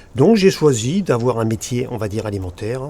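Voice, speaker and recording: A man talks while noticeable background noise carries on underneath. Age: 60s. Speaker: land and beach artist. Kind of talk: casual chat.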